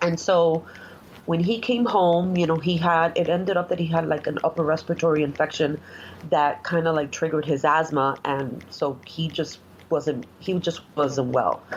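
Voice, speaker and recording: A woman with a Spanish accent speaks at a moderate pace in a fairly low pitch, her intonation fairly even and her loudness very even. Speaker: executive assistant. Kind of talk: interview.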